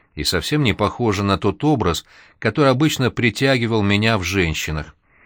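A natural reading voice is what the speaker uses here.

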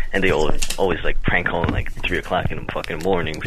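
A man talks while clearly audible noise carries on behind him. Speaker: caller to a call-in show. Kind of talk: casual, profane. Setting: phone.

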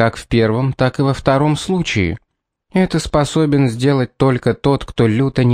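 Ordinary pitch variation in a natural reading voice, quiet all around

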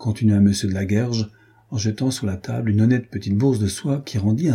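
Just plain reading aloud.

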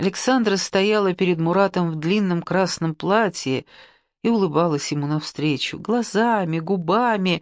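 A natural reading voice with pitch that varies in an ordinary way

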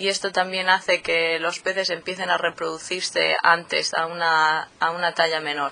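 The woman speaks at a moderate pace. Her intonation is monotone and flat. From Murcia, southeastern Spain. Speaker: PhD student in fisheries biology. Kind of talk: interview. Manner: hesitant, many fillers.

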